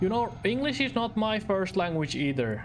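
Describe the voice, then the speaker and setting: Noticeable background noise accompanies a speaker with a Finnish accent who talks at a fairly slow pace. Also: man. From Finland. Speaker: streamer. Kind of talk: gameplay commentary. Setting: live stream. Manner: conversational, thinking aloud.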